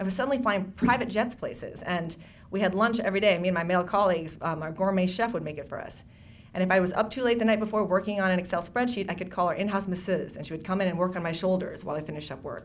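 A woman with an American accent talks at a very fast pace in a medium pitch. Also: ordinary pitch variation. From Wisconsin (Racine), emigrated from the Philippines at six; Wisconsin. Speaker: novelist. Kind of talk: speech at a book event. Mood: warm, reflective, lightly humorous. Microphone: podium.

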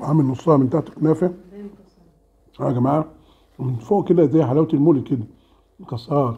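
Fairly high for a man, his voice is dark and mellow, somewhat breathy, with ordinary pitch variation. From Egypt. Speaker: food vlogger. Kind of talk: casual mukbang vlog. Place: home room. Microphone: camera far.

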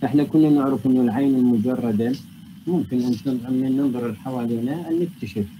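The man's tone is dark and mellow, with ordinary pitch variation. He speaks at a moderate pace against noticeable background noise. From Iraq. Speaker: university lecturer and researcher in physics. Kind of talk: academic lecture. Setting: online video call lecture. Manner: formal, explanatory, mixes English technical terms. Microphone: video call.

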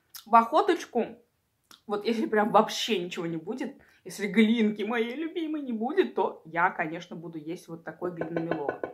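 Against a quiet background, a woman speaks at a moderate pace with very wide pitch swings and big swings in loudness. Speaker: eating-video creator. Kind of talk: casual vlog chat. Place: home room. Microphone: phone near.

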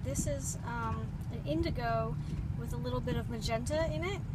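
A woman is heard over loud background noise. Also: dry sound with no echo. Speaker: watercolour teacher. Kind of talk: tutorial. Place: car. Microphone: phone near.

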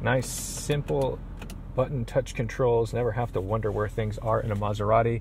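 A man's medium-pitched voice is heard with noticeable noise in the background. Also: moderate pace. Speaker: car reviewer. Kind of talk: car review walkthrough. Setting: in a car. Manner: enthusiastic.

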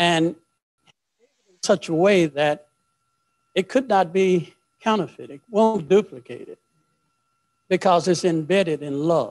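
Against a quiet background, a man with a high voice for his sex talks at a fairly slow pace. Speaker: preacher. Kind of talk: prayer then sermon. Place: church. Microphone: handheld.

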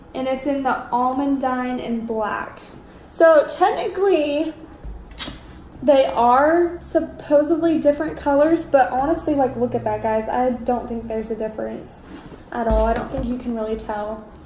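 Over light background noise and audible room echo, a woman with a high pitch speaks at a moderate pace. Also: ordinary pitch variation. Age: 20s. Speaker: YouTuber. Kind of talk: unboxing video. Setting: home. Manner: animated. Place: home room. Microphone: phone near.

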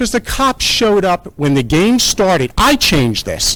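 An American accent marks this man's high-pitched voice, which has lively intonation. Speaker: public commenter at council meeting. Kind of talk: public comment at town council meeting. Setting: town council meeting room. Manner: fast; animated.

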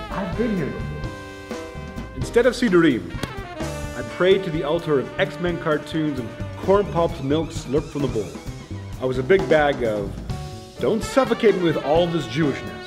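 Over clear music in the background, a man with a fairly high pitch talks at a moderate pace, his pitch swinging very widely. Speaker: spoken word performer. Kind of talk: spoken word performance. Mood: wry, humorous storytelling. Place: church. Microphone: lapel.

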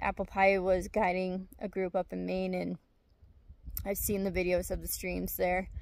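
A woman's fairly low pitch with vocal fry, monotone, flat intonation and long, frequent pauses. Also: slightly mellow tone.

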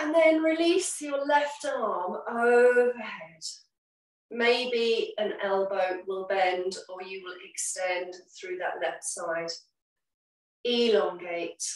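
A woman speaks at a very slow pace with very wide pitch swings. Her loudness rises and falls in big swings. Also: fairly high pitch for a woman. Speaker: yoga teacher. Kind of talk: yoga class instruction. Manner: calm, slow.

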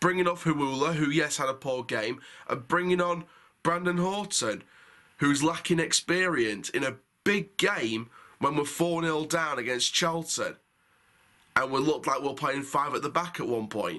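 Against a quiet background, a man speaks in a bright, sharp tone. His pitch varies in an ordinary way. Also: moderate pace. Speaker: football fan reviewer. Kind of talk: match review commentary. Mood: frustrated, critical.

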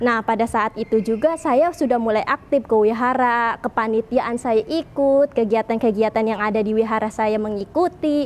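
With hardly any pauses, a woman talks at a moderate pace and a fairly high pitch with ordinary pitch variation. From Indonesia, Tangerang; Indonesia. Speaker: convert sharing testimony. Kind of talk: testimony. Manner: casual with frequent fillers. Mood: lively, earnest, smiling at times. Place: church. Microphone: lapel.

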